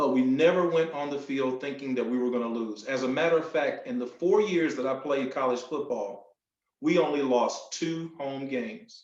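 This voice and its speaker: Fairly high male voice at a moderate pace, with audible room echo. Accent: North Carolina. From US South, North Carolina (Sampson County). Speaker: motivational speaker. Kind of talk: speech. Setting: video call.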